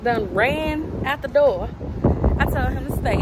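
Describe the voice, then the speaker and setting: A woman's voice comes through dry with no echo, over loud background noise. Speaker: mom vlogger. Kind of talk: casual vlog chat. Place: street. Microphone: phone near.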